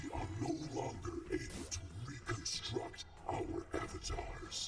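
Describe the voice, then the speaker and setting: A man uses a put-on character voice at a fairly slow pace. There is a clear echo and loud background noise. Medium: video game. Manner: calm, measured, persuasive.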